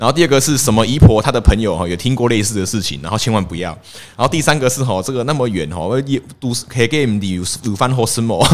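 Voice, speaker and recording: Delivered very fast, the speech carries lively intonation. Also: man, medium pitch for a man. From Taiwan, Pingtung Zhutian (Hakka area). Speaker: podcast guest. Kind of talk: casual chat.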